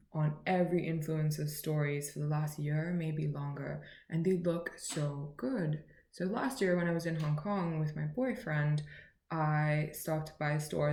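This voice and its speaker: A moderate pace and fairly even intonation amid audible room echo. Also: woman. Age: 20s. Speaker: beauty and lifestyle vlogger. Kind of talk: casual haul vlog. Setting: at home, at midnight. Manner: chatty, rambling. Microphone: laptop recording.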